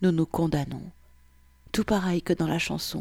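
At a very slow pace, a woman with a fairly low pitch and vocal fry speaks in a monotone, flat intonation, the sound dry and close with no echo. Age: 30s. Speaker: podcaster reading personal essay. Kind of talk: personal monologue reading.

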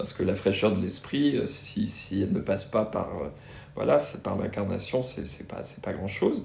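Somewhat breathy and fairly low in pitch, a man speaks with lively intonation amid audible room echo. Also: fairly slow pace. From Brittany, France. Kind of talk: interview. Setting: in-person interview at a student residence. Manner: hesitant, many fillers and repetitions.

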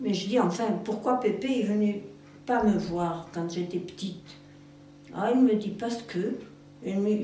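A woman's medium-pitched voice at a fairly slow pace, with ordinary pitch variation, music in the background, and audible room echo. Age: 80s+. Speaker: farmers' daughter recounting memories. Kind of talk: oral history interview.

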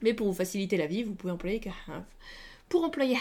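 A woman speaks at medium pitch with ordinary pitch variation. Hers is an unremarkable speaking voice. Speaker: English teacher podcaster. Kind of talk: language lesson. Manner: casual, chatty.

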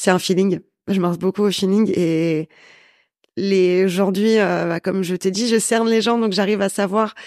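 On a very clean recording with a silent background, a woman speaks in an ordinary speaking voice at a moderate pace, medium-pitched with fairly even intonation. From northern France, Valenciennes. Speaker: business owner, sales and networking consultant. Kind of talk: interview.

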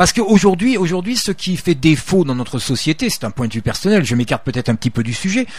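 A man speaks at a fairly quick pace with a high pitch. His voice moves in very wide pitch swings. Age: 60s. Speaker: retired soldier and ultra-trail runner. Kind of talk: radio interview. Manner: halting, many repetitions.

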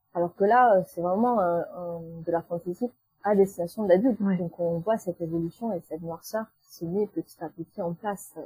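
A woman at a medium pitch with a dark, mellow, somewhat breathy tone, fairly even intonation, a moderate pace, and big swings in loudness, in a dry, close sound with no echo. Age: 30s. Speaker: book blogger and YouTuber. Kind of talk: casual interview. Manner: hesitant, many fillers.

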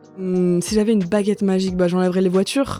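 A woman's medium-pitched, monotone, flat delivery at a very fast pace over noticeable background noise. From France; did not grow up in Valenciennes, family roots there. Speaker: stage director and actress. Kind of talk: interview, personal reminiscence. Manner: hesitant, many fillers and restarts.

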